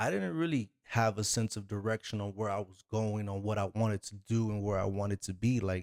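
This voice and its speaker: A plain, everyday voice from a man, fairly low in pitch with fairly even intonation and hardly any pauses, in a dry, close sound with no echo. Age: 40s. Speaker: podcast host. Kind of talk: solo podcast monologue. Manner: casual, conversational with many fillers.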